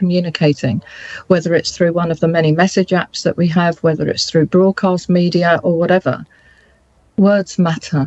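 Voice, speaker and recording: A woman with a passionate tone keeps her intonation fairly even, recorded with a dry, close sound and no echo. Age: 60s. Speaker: interviewee, businesswoman. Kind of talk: interview.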